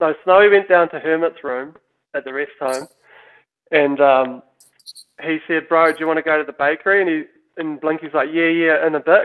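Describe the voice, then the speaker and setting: This man, with a New Zealand accent, has a fairly high pitch and fairly even intonation, moving at a fairly quick pace between long, frequent pauses. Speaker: downhill mountain bike team manager. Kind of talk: casual chat. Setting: remote recording.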